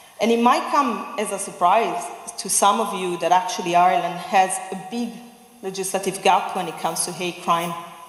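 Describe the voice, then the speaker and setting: Speaking with an Italian accent, a woman shows big swings in loudness, with audible room echo and noticeable background noise. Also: medium pitch for a woman, ordinary pitch variation, moderate pace. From Italy. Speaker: human rights advocate. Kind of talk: public speech.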